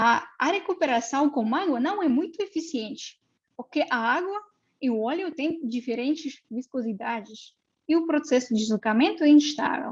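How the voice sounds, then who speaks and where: A woman speaks in a Russian accent at a high pitch. Her intonation is lively and her pace moderate. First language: Russian (speaking Portuguese). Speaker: mathematics researcher. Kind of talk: lecture. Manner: halting, many fillers.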